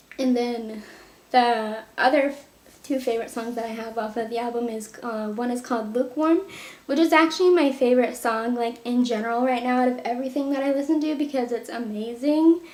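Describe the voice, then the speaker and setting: A woman talks at a fairly quick pace in a high voice. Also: ordinary pitch variation. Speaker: music youtuber. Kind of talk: casual monologue to camera. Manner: animated.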